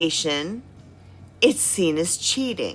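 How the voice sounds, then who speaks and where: A woman's voice with lively intonation over music in the background. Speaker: health vlogger. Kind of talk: casual talk to viewers, live-stream style. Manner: animated.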